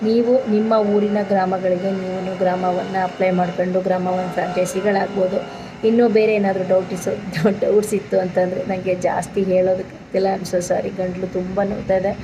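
A woman at a medium pitch speaks in a monotone, flat intonation. There is audible room echo, with music in the background. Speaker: vlogger and village service centre owner. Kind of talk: informational vlog.

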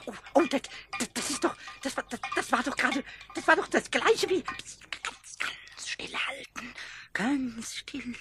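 A man puts on a character voice with extremely high pitch. He goes at a moderate pace with long, frequent pauses. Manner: excited, stammering.

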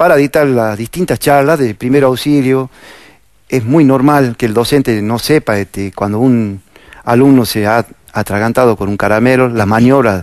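A man's calm voice at medium pitch and moderate pace, with ordinary pitch variation, dry sound free of echo, and a quiet background. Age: 50s. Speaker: firefighter, police fire brigade officer. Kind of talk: interview. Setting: studio. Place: studio. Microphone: lapel.

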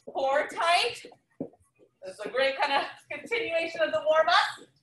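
A woman uses a raised, projected voice at a fairly slow pace, with audible room echo and light background noise. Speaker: fitness instructor. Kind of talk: workout instruction. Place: gym. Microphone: camera far.

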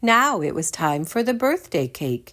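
This is plain reading aloud. Nothing more is marked.

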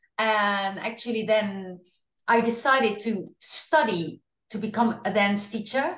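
A woman with a Dutch accent and a fairly high voice, with ordinary pitch variation and audible room echo. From Netherlands. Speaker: singer. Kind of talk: interview. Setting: video call.

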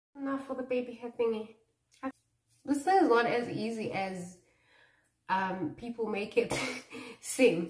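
Speaking at a fairly slow pace with long, frequent pauses, a woman with a fairly high pitch uses lively intonation in a room with audible echo. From South Africa, Mpumalanga (Malelane); Mpumalanga, South Africa. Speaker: YouTuber; vlogger. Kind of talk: casual chat. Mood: playful, self-mocking. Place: bathroom. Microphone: phone near.

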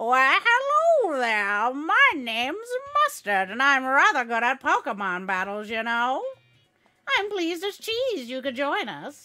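A woman puts on a playful, bubbly character voice at a fairly slow pace, with faint music in the background. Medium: virtual streamer. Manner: playful, bubbly, folksy.

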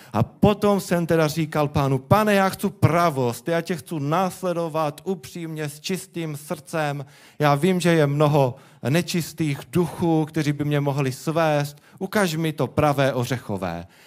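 Against a quiet background, a man with a Czech accent speaks at a fairly slow pace and a fairly high pitch with ordinary pitch variation. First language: Czech (speaking Slovak). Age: young. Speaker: guest. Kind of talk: testimony. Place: church. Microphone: handheld.

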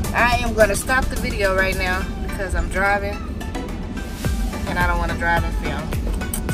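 Loud music plays in the background while the voice, dry with no echo, moves at a fairly slow pace. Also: woman. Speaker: vlogger. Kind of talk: casual vlog chat. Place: car. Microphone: phone near.

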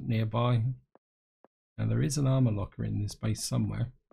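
This man's voice is somewhat breathy, with a dark, mellow tone and a medium pitch. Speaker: gaming YouTuber. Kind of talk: gameplay commentary. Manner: casual, explanatory.

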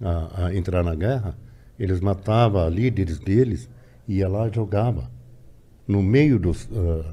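A man's fairly low, somewhat breathy voice with a dark, mellow tone, lively intonation, an Arabic accent and a fairly slow pace. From Lebanon. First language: Arabic (speaking Portuguese). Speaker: immigrant interviewee; interviewee. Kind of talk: casual interview. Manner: halting, repeating words. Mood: serious, reflective. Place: studio. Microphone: studio mic.

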